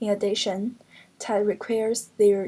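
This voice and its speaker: A woman with a Chinese accent speaks fairly slowly in a fairly high, somewhat breathy voice with a dark, mellow tone. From China (Hunan). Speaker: postgraduate translation student. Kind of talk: class presentation.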